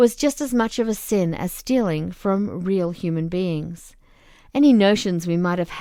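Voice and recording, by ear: A natural voice reading aloud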